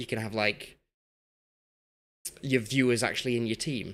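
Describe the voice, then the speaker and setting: This man talks at a moderate pace. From Yorkshire, northern England. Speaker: gaming streamer. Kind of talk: live game stream chat. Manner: casual, rambling with repetitions.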